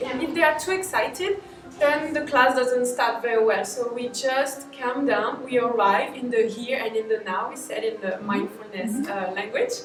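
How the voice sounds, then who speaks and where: In a French accent, a woman talks at a moderate pace with lively intonation. Audible room echo and noticeable background noise surround her voice. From France. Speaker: English and mindfulness teacher. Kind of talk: interview.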